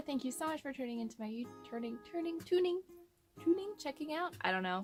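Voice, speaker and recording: Music plays in the background. Over it, a woman speaks with very wide pitch swings. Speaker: pagan witch teaching dream magic. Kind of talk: casual talk to camera.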